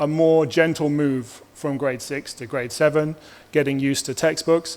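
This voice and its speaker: A man with an ordinary speaking voice, fairly high pitch, fairly even intonation and a moderate pace. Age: 30s. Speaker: teacher presenting to parents. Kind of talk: presentation to parents at open house. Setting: school open house presentation.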